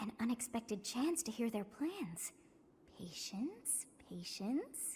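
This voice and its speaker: A female-sounding, put-on character voice at a fairly high pitch and a fairly slow pace. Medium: video game. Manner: playful, imperious.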